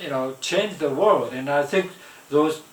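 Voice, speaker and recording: Noticeable background noise sits under a man speaking with a Japanese accent. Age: 70s. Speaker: vlogger. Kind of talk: casual monologue. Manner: halting, many fillers.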